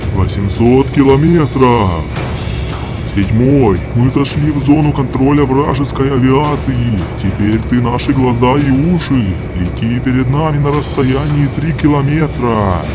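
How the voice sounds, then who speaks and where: A man's cartoonish character voice at a fairly slow pace, over loud background noise. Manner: calm, clipped military.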